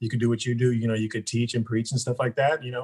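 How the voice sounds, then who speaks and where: Talking at a very fast pace, a man has a medium pitch. His voice is somewhat breathy. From Stockton, California. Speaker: registered nurse. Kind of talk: casual interview.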